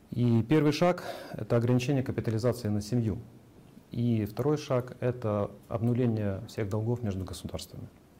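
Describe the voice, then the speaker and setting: Speaking at a moderate speed, the man uses an unremarkable speaking voice pitched at a medium level, his pitch varying in an ordinary way. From Ukraine, Kyiv. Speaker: private entrepreneur. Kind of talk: personal testimony. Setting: video call.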